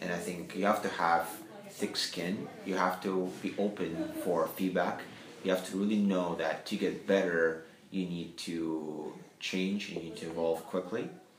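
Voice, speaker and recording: Through noticeable background noise, a man with a non-native accent speaks at a fairly slow pace, his very deep, low pitch held in fairly even intonation. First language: not English. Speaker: company CEO. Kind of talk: interview.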